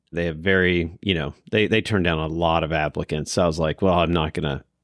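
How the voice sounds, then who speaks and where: Fairly quickly and with fairly even intonation, a man speaks in a very deep, low voice. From Kentucky. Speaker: podcast host. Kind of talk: casual chat. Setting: room with recording equipment.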